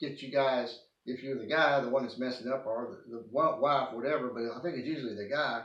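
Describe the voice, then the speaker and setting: Audible room echo surrounds a man speaking in an East Texas accent. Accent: East Texas Southern US. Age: 60s. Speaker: video blogger. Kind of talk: personal testimony monologue. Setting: at home, living room. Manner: halting, many false starts.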